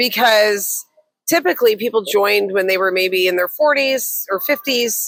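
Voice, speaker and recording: A woman with a normal speaking voice talks at a moderate pace with a fairly high pitch and lively intonation. The sound is dry and close, with no echo. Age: 60s. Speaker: business coach and podcast co-host. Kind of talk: casual chat.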